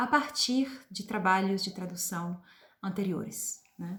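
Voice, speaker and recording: Speaking in an Italian accent, a woman has a medium pitch. Her voice is somewhat breathy. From Switzerland (Italian-speaking). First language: Italian (speaking Portuguese). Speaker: literature professor and translator. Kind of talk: personal presentation to camera. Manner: hesitant, many filler sounds.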